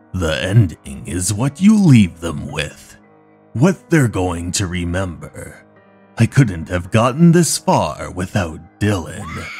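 A man's very deep, low voice at a fairly slow pace, with faint music in the background. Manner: calm, reflective, quietly satisfied.

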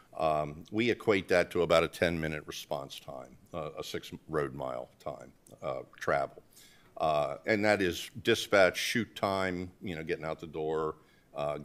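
A man's very deep, low voice with vocal fry, ordinary pitch variation and a fairly slow pace. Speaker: presenter. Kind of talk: presentation to board. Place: meeting room. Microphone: podium.

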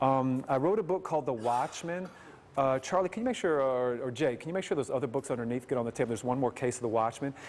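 Very fast delivery from a man, his pitch varying in an ordinary way. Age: 50s. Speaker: evangelist. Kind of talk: sermon. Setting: stage with audience. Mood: conversational, storytelling. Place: church.

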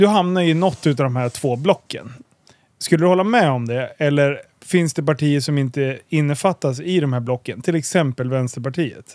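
Using an ordinary speaking voice, a man talks at a moderate pace, fairly high in pitch with ordinary variation. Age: 30s. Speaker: podcast host. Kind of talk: casual interview.

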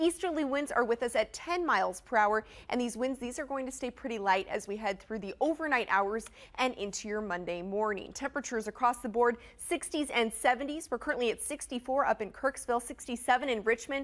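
A woman's high, upbeat voice with ordinary pitch variation. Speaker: TV meteorologist. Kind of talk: broadcast TV weather forecast, reading maps and city temperatures to camera. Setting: TV studio. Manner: brisk, polished newscaster cadence with upbeat emphasis; reassuring but cautionary when flagging heavy rain.

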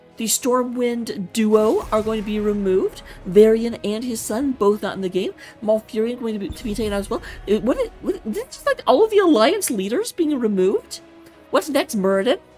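A woman speaks with a fairly high pitch and lively intonation. Music plays in the background. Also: moderate pace. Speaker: esports caster. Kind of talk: live commentary. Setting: hotel room. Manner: quieter, leaning close to the mic; less energetic than usual.

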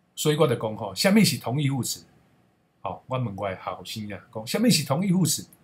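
Somewhat breathy, this man's voice moves with lively intonation. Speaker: Taiwanese language educator. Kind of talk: personal storytelling.

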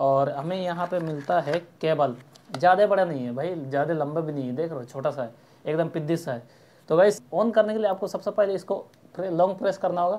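Pitch variation is ordinary. The pace is moderate. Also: man, high pitch for a man. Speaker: vlogger reviewing a mic. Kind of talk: casual unboxing review. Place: home room. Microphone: phone near.

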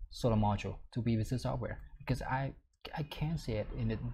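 Noticeable background noise sits behind this clip. The man's delivery moves at a moderate pace. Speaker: software tutor. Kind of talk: tutorial. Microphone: webcam.

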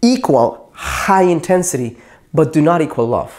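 A man's intonation rises and falls in a lively way, with only quiet behind him. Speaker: dating coach. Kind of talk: advice talk to camera. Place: studio. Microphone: lapel.

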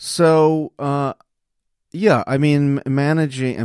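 A man speaks with an American accent. The recording is very clean and dry, close with no echo and a silent background. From New York City area, US. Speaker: conference founder, visiting professor. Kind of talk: casual interview. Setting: studio.

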